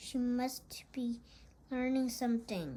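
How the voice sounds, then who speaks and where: Using a put-on character voice, a woman speaks at a high pitch and a fairly slow pace with fairly even intonation. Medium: read story. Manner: calm, approving.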